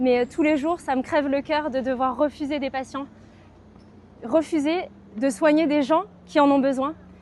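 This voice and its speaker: A woman's high voice at a fairly slow pace with ordinary pitch variation, over noticeable background noise. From France, Poitiers. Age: 30s. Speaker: local election candidate and dentist. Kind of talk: campaign video message.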